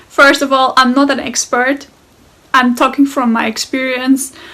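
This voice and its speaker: A woman speaks in a high pitch with a German accent. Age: 20s. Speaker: guest sharing personal experience. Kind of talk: personal testimony. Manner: hesitant, with fillers.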